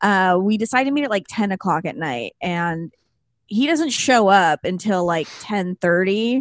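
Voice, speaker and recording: A woman speaks with a Californian accent at medium pitch and a moderate pace, her intonation lively. The sound is dry and close with no echo, over a quiet background. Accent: Californian, Valley girl. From Los Angeles, San Fernando Valley. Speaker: podcast host. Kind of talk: casual chat.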